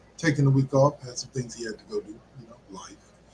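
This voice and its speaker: A man's voice over noticeable background noise. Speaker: sports podcast host. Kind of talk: casual chat. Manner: halting.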